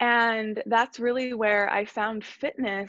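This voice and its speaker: A plain, everyday voice at a moderate pace, dry and close with no echo, against a quiet background. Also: woman. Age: 30s. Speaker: breathwork and mindset coach. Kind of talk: casual chat.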